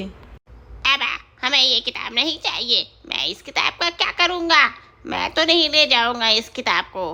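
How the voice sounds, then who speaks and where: Pitched high, a female-sounding voice performs a cartoonish character voice at a fairly slow pace. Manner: brash.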